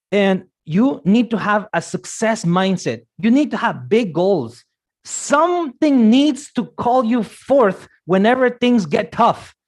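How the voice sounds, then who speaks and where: A man with a Guatemalan accent speaks in an animated tone with very wide pitch swings against a quiet background. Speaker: motivational speaker on careers. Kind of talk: motivational talk.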